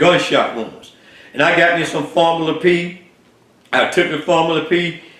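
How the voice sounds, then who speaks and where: Through audible room echo and noticeable background noise, a man speaks in a high pitch at a moderate pace, monotone and flat, with long, frequent pauses. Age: 70s. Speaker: health vlogger. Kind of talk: personal testimony. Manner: halting, many fillers.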